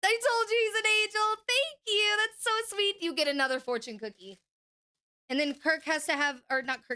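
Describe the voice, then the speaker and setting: A woman's extremely high, bright and sharp voice with an American accent, animated and raised to project, with very wide pitch swings. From Oklahoma, US. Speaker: gaming livestreamer. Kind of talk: casual livestream chat. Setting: home stream room. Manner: fast; animated, hyperactive.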